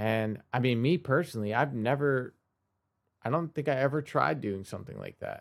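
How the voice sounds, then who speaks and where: On a very clean recording with a silent background, a man with a normal speaking voice talks at a moderate pace, at a medium pitch with ordinary pitch variation. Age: 20s. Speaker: podcast host and musician. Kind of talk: solo podcast monologue. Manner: casual, with many fillers.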